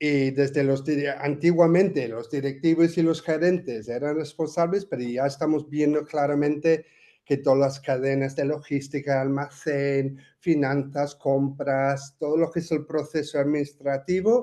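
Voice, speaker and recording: A man speaks with an English accent in a fairly high, dark, mellow voice. His pace is fairly slow and his intonation fairly even. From England. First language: English (speaking Spanish). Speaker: language teaching expert. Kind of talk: panel discussion. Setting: webinar.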